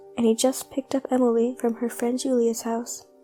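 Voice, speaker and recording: Music plays in the background. A woman speaks at a moderate pace and fairly high pitch. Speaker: amateur narrator. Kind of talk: creepypasta horror story narration.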